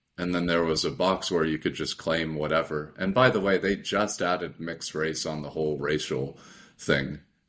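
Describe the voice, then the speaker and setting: Moderate pace with ordinary pitch variation. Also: man, very deep, low pitch for a man. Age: 30s. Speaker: podcast host and student. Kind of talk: casual interview. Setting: video call. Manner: halting, many fillers.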